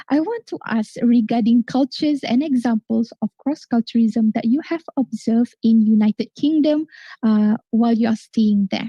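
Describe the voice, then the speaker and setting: A woman with a fairly high pitch and ordinary pitch variation talks at a moderate pace in a dark, mellow tone, with a dry, close sound and no echo. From Malaysia, Sabah. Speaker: forum moderator. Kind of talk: live forum moderation. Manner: animated.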